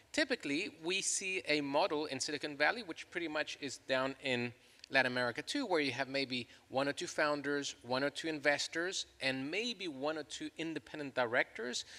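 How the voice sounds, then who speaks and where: With a slight Chilean accent, a man speaks at a moderate pace in a fairly high voice with ordinary pitch variation and a bright, sharp tone, the sound dry and close with no echo. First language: Spanish. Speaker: law professor. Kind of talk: panel discussion.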